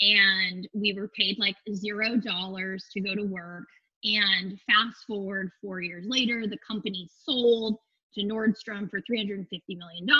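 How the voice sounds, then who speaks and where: A woman with an American accent speaks fairly slowly at a medium pitch. She has an unremarkable speaking voice with fairly even intonation. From Phoenix, Arizona. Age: 30s. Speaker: yoga instructor and studio owner. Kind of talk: casual interview chat.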